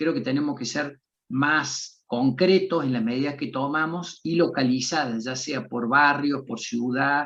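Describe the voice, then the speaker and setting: A man with an ordinary speaking voice talks at a fairly slow pace, his fairly high pitch showing ordinary pitch variation. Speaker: physician and bioethics expert. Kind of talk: interview answers in an online seminar.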